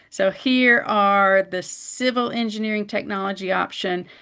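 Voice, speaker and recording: A woman speaks at medium pitch with ordinary pitch variation, in an ordinary speaking voice. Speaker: college department head. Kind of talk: webinar presentation.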